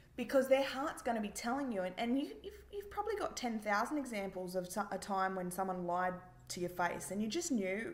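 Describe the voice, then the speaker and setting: Energetic and fairly quick, a woman speaks at a fairly high pitch with lively intonation. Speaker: business coach, entrepreneur. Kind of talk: interview answer.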